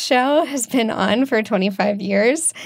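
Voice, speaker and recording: A woman speaks in a normal speaking voice at a fairly high pitch. Her pitch varies in an ordinary way. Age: 20s. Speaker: podcast producer. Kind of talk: conversational storytelling.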